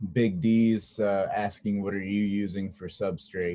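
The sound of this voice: Intonation stays fairly even across an unforced reading voice.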